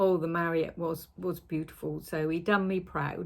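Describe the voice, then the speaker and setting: With a Cornish accent, a woman talks at a fairly slow pace. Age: 60s. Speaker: sewing vlogger. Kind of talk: casual vlog chat. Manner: chatty, hesitant with fillers.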